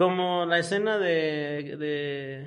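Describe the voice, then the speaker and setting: A man speaks with a Mexican accent. Room echo is audible. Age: 20s. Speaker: podcast co-host. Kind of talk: casual chat.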